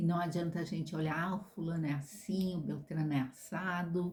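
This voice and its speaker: Moderately paced and somewhat breathy, a woman speaks in a very deep, low pitch with a dark, mellow tone and ordinary pitch variation. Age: 60s. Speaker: vlogger. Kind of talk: casual monologue. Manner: halting.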